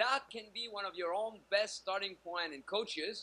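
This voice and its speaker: At a moderate pace, a man raises and projects his high-pitched voice, with lively intonation and a bright, sharp tone. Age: 40s. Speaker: dating coach. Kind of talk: interview. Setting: video call. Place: home room. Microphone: video call.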